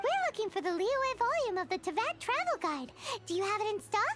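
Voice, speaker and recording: A squeaky, put-on character voice with extremely high pitch moves at a fairly quick pace. Loud background noise runs underneath. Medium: video game. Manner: lively, expressive.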